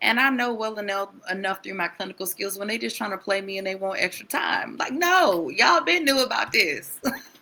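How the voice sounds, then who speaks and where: A woman's medium-pitched, animated voice with lively intonation, at a fairly quick pace with hardly any pauses, over noticeable background noise. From Wisconsin, US Midwest. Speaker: mental health therapist. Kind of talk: casual interview chat. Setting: live stream.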